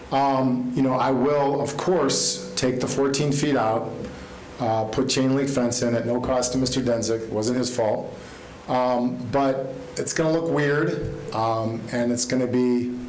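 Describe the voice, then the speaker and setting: A man at medium pitch speaks at a fairly slow pace with very even loudness and fairly even intonation, with noticeable background noise and audible room echo. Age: 60s. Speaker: fence contractor speaking in support. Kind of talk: public hearing testimony. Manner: hesitant, many filler ums.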